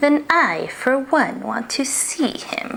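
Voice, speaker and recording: A woman's high-pitched put-on character voice, hissing and very slow. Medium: read story.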